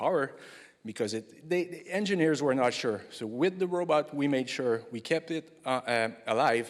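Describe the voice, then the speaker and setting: A man speaks with a French accent. His intonation is lively. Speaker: engineering project manager presenting at a conference. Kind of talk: conference lightning talk. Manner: halting, many fillers and restarts; hurried.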